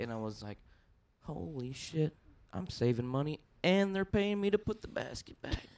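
A man is speaking. He has a Texan accent. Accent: Texas, country. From Texas, Dallas area. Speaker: podcast guest, amateur stand-up comedian. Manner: casual storyteller, uses filler like "you know".

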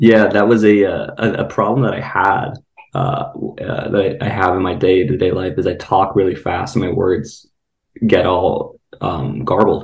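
A man with vocal fry speaks at a low pitch and a moderate pace, his intonation fairly even. Audible room echo surrounds his voice.

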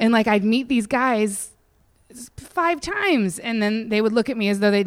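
A woman with an American accent and a normal speaking voice, fairly high in pitch, at a moderate pace with ordinary pitch variation. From western Pennsylvania (Indiana County). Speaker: comedian. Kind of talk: casual interview chat.

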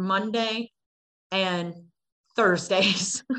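This voice has an American accent, a bright, sharp tone and ordinary pitch variation. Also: woman. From Cleveland, Ohio, US. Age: 40s. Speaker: radio broadcaster. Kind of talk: interview. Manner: halting, many fillers.

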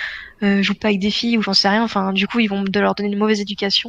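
A woman talks here, her voice pitched in the medium range. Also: quiet background. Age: 20s. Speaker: semi-professional esports player. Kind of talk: casual interview.

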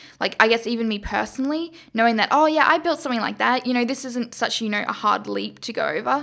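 A woman with an Australian accent speaks at a fairly quick pace in a high, bright, sharp tone with ordinary pitch variation. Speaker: engineering student and startup founder. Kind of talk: interview. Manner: hesitant, many fillers.

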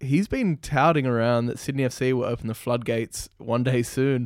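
This man speaks at a moderate pace and a medium pitch, with an Australian accent. The sound is dry and close, with no echo. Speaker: football podcast co-host. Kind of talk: casual chat. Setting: remote call.

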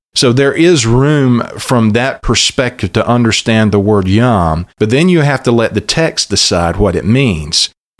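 Medium-pitched man in a Southern US accent, lively intonation, very even loudness, fairly slow pace with hardly any pauses, very clean recording with a silent background. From US South, southeast Alabama. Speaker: pastor. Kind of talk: interview. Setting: studio.

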